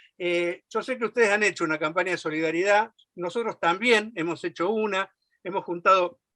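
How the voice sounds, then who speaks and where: Against a quiet background with a dry, close sound and no echo, a man speaks at a fairly quick pace in a raised, projected, high voice that has a bright, sharp tone and ordinary pitch variation. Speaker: left-wing political activist. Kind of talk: political speech at a meeting. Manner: fast.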